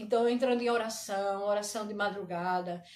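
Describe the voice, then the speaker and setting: A woman speaking at a moderate pace with ordinary pitch variation. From Brazil, Recife. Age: 60s. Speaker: pastor. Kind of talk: personal complaint livestream. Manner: animated.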